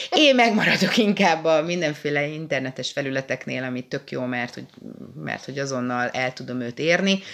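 A woman's very deep, low voice, fairly quick, with lively intonation, big swings in loudness and noticeable background noise. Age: 30s. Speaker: podcast co-host. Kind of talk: casual chat.

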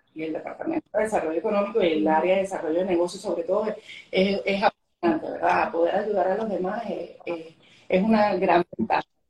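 At a moderate pace, a woman with a plain, everyday voice speaks at medium pitch. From Venezuela. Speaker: government economic development official. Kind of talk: interview on a live stream.

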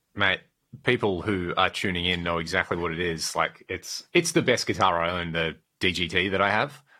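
A man speaks in a very deep, low pitch with fairly even intonation. His tone is bright and sharp. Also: moderate pace. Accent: Australian. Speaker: podcast host, guitar gear enthusiast. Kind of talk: casual chat.

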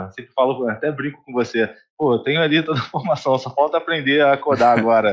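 A man with an unremarkable speaking voice, medium pitch, a moderate pace and ordinary pitch variation. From Rio de Janeiro state, Brazil. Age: 20s. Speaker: accounting firm CEO. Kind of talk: casual interview.

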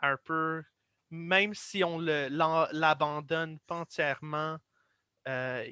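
In a dry, close sound with no echo, a man with an English accent speaks at a fairly high pitch in a bright, sharp tone with fairly even intonation, on a very clean recording with a silent background. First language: English (speaking French). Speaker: guest explainer. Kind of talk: casual explanatory discussion. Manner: halting.

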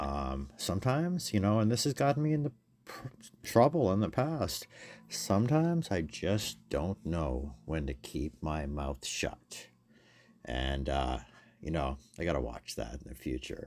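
The speaker goes at a fairly slow pace with very wide pitch swings. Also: man, very deep, low pitch for a man. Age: 50s. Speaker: magazine editor and podcast host. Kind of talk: casual solo monologue.

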